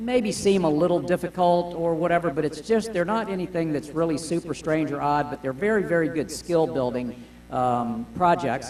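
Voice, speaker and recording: A man speaks with an American accent at a fairly high pitch, using ordinary pitch variation. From Florida, US South. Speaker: woodturning demonstrator. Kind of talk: live demonstration talk. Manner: fast; loud.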